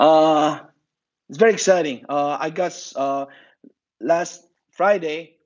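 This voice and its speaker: This man's pitch sits fairly high. He speaks with a Korean accent and ordinary pitch variation. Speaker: martial arts instructor. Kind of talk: online class announcement.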